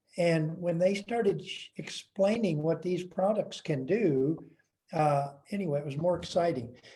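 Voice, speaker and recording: A man's high voice with a dark, mellow tone, ordinary pitch variation and a fairly slow pace. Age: 70s. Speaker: testimonial speaker. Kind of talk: testimony.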